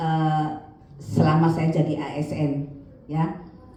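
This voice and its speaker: Audible room echo and noticeable background noise around a woman speaking. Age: 60s. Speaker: guest preacher. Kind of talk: sermon. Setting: church.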